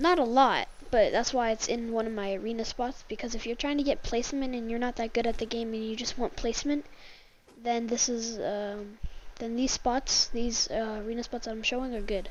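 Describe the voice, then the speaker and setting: A woman's fairly high-pitched voice at a fairly quick pace, with fairly even intonation. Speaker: gaming YouTuber. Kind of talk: gameplay commentary tutorial. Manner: halting, many fillers; casual.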